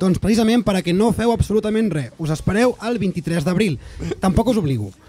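A man with a high-pitched voice speaks with lively intonation over faint background music. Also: fairly quick pace. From Catalonia. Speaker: podcast host. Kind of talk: casual chat. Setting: studio. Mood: joking, playful. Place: studio. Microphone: studio mic.

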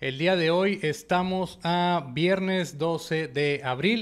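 High male voice, ordinary in its pitch variation. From Mexico, Nuevo Laredo (Tamaulipas); Tamaulipas, Mexico. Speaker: podcast host. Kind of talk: interview. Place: studio. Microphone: studio mic.

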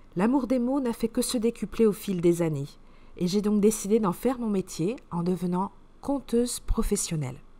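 A woman speaks at a medium pitch with lively intonation. Her tone is dark and mellow, gentle and soothing. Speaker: storyteller. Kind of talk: bedtime story telling for children, read aloud. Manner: gentle, soothing, slow-paced and expressive; playful, sing-song, animated with wonder.

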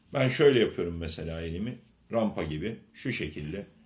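A man speaks at a moderate pace, his pitch swinging very widely. His voice is somewhat breathy. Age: 50s. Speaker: leather craftsman. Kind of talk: product demonstration. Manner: halting. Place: home room. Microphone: phone near.

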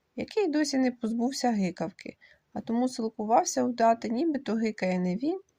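The intonation is lively in an unforced reading voice.

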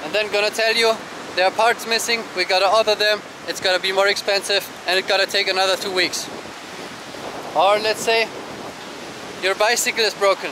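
Over noticeable background noise, a man with a high voice speaks at a fairly quick pace in a monotone, flat intonation, with long, frequent pauses and a dry sound with no echo. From Germany. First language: German. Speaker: travel vlogger. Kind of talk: casual vlog monologue. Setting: outdoors. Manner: conversational with frequent fillers. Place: beach. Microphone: phone near.

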